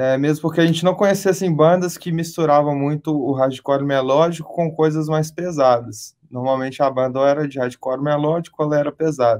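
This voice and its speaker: A man with a fairly high pitch keeps his intonation fairly even and his pace moderate. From Brazil, Belo Horizonte (Minas Gerais). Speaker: rock band vocalist. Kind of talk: interview.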